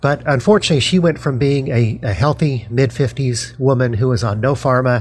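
With hardly any pauses, a man speaks at a moderate pace in a somewhat breathy, medium-pitched voice with ordinary pitch variation. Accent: General American. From Denver, Colorado. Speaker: university lecturer and author. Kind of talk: interview.

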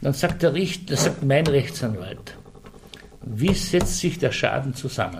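Over noticeable background noise, a man speaks fairly slowly in a fairly high pitch, his pitch swinging very widely while his loudness stays very even. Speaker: Slovene minority representative. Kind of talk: interview.

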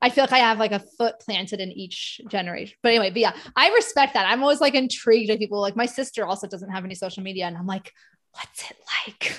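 This woman talks at a very fast pace in an animated tone, her fairly high voice showing ordinary pitch variation and big swings in loudness. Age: 40s. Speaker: podcast host, occupational therapist. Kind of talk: casual interview chat.

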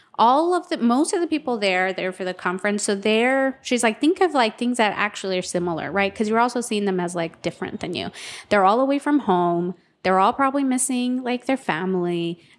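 In a very clean recording with a silent background, a woman with an unremarkable speaking voice talks at a fairly quick pace, her fairly high pitch carried by lively intonation. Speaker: podcast co-host. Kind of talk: casual interview chat.

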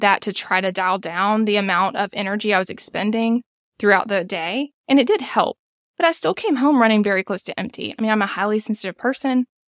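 A woman with an American accent talks at medium pitch and a fairly quick pace in an ordinary speaking voice. The recording is very clean, dry and close with no echo, over a silent background. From United States. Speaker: small business owner and podcast producer. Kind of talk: coaching session conversation.

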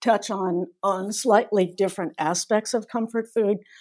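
Heard in a very clean recording with a silent background, a woman with an American accent has a normal speaking voice at a medium pitch. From US South, North Carolina. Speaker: folklore professor. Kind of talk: interview.

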